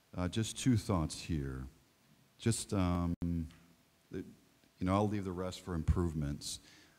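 A man with a very deep, low pitch and long, frequent pauses. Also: ordinary pitch variation, fairly slow pace. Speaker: soccer coach. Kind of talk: feedback to a student. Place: hall.

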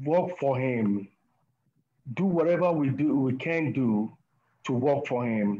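A man's fairly high voice with a dark, mellow tone and ordinary pitch variation. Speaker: church deacon. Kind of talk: spontaneous exhortation. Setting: video call. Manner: halting, many fillers and repetitions. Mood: earnest, reverent. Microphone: video call.

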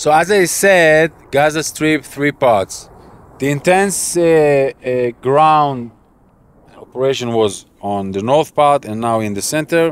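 A man speaks at a very slow pace. The recording is dry with no echo. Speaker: military analyst. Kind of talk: interview answer. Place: open country.

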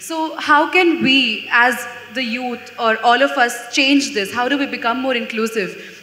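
Audible room echo surrounds a woman with a high pitch. She speaks at a fairly slow pace with ordinary pitch variation. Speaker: student moderator. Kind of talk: moderated Q&A. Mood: earnest, thoughtful. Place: stage. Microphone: handheld.

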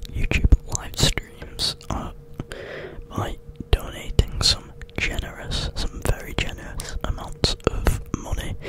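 Soft-spoken and whispering, a man talks at a very slow pace in a dry sound with no echo, over loud background noise. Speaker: ASMR streamer. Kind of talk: casual vlog chat. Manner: soft close-mic ASMR whisper. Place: home room. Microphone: studio mic.

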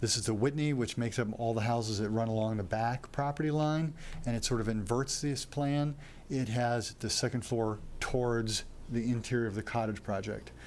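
Very even loudness with audible room echo. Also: man, medium pitch for a man, ordinary pitch variation. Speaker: developer or architect presenting a project. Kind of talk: presentation to city council. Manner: fast; many fillers (uh, um).

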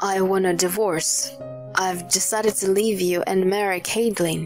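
With clear music in the background, a woman puts on a strained character voice at medium pitch, moving at a moderate pace with fairly even intonation. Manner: blunt, strained.

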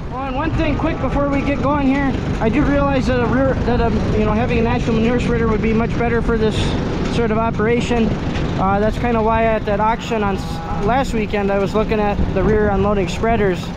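The speech moves at a fairly quick pace over loud background noise. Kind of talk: casual vlog chat.

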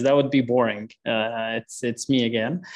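In a quiet background, a man with an Arabic accent speaks at a fairly quick pace. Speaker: water program coordinator; meeting facilitator. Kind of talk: online meeting discussion. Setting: video call. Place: home room. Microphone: earbuds.

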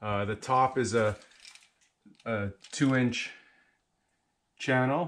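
The speaker is a man. Ordinary variation runs through his pitch. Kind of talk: tutorial. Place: garage. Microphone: phone near.

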